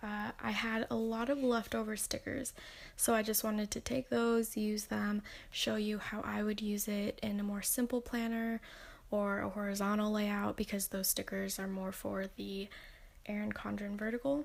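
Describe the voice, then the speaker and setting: A woman's fairly high voice in a monotone, flat delivery at a moderate pace. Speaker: planner vlogger, college student. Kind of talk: voiceover narration of crafting video. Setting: bedroom in apartment. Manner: casual with fillers.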